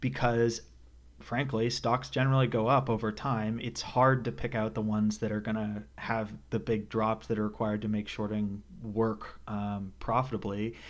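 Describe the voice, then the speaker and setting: In a plain, everyday voice, a man talks at a moderate pace and medium pitch with ordinary pitch variation over a quiet background. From Canada. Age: 20s. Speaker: podcast host, market strategist. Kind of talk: interview.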